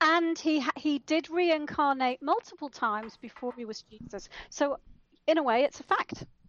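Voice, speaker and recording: At a moderate pace, a woman speaks in a high voice with lively intonation and big swings in loudness. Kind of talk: casual chat.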